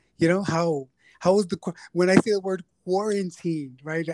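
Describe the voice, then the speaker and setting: The sound is dry and close, with no echo. A man speaks at a moderate pace in a high pitch with fairly even intonation. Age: 30s. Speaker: podcast host, counseling student. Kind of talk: casual interview chat.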